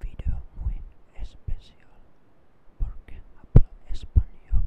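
A man is whispering. He goes at a very slow pace. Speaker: ASMR creator. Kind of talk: ASMR trigger words. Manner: soft-spoken, whispery. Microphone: studio mic.

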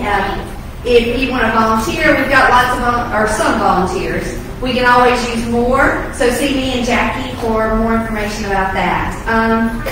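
A woman's high-pitched voice at a moderate pace, with strong room echo and noticeable background noise. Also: ordinary pitch variation. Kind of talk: church announcements. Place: church.

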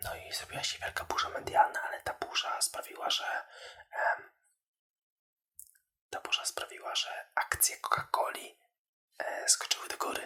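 A man whispers at a moderate pace, stopping for long, frequent pauses. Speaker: social media video creator for the beauty industry. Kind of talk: casual ASMR-style talk to camera about marketing. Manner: soft, whispery, conversational.

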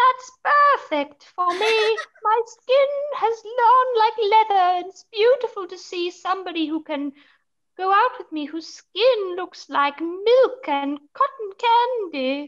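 A woman's extremely high voice, very slow, with very wide pitch swings and big jumps in loudness, over a quiet background. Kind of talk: acted role-play dialogue. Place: home room. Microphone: video call.

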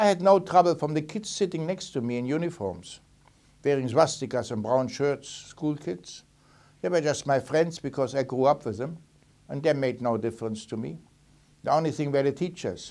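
Speaking at a moderate pace, a man has a German accent. His fairly high voice carries a dark, mellow tone. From Germany, Berlin; Germany. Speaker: Holocaust survivor. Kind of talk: testimony. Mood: calm, reflective, serious. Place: studio.

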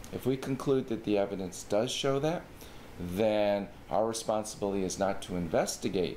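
A man's fairly low voice at a moderate pace, with ordinary pitch variation and light background noise. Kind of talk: informational explainer. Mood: calm, formal. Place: office.

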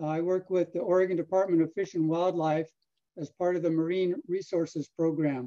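A man speaks at a moderate pace with a high pitch. His tone is dark and mellow, and the background is quiet. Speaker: fisheries scientist. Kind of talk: research talk. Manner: halting. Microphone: video call.

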